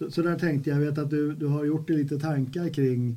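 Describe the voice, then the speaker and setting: A man speaks with a dark, mellow tone and a somewhat breathy quality. His pitch sits fairly high, and his intonation stays fairly even. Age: 70s. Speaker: podcast host. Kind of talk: casual chat.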